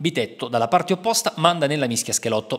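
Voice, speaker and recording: A man speaks with a fairly high pitch. His voice moves in very wide pitch swings. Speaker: football match commentator. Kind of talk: sports highlights voice-over, recapping the match in scripted commentary. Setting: voice-over on match video. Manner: brisk, fluent, upbeat play-by-play pace; formal, matter-of-fact, reporter-like tone.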